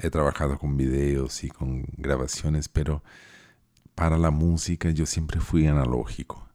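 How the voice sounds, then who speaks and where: A man speaks at a fairly slow pace in a very deep, low voice, with music playing in the background. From Chile and southern Brazil (Porto Alegre). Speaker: musician and podcast host. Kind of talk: casual monologue. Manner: halting.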